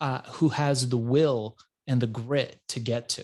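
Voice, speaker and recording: In an unremarkable speaking voice, a man with an American accent talks at a medium pitch against a quiet background. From Iran, grew up in US from childhood. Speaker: entrepreneur. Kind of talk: interview.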